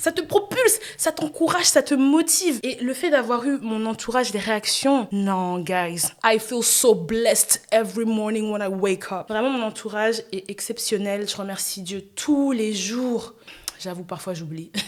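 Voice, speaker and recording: A woman's fairly high voice with lively intonation at a fairly slow pace. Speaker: podcast host. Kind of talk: casual solo podcast monologue. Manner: loud; animated.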